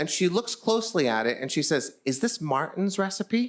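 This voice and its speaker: A man talks at a moderate pace with a high pitch and lively intonation. The recording is very clean, with a silent background. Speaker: storyteller. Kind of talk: live storytelling performance. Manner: humorous.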